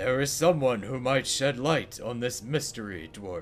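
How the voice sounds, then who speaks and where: A man performs a put-on character voice at a medium pitch and moderate pace, with clear background noise behind him. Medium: game stream. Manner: solemn, earnest.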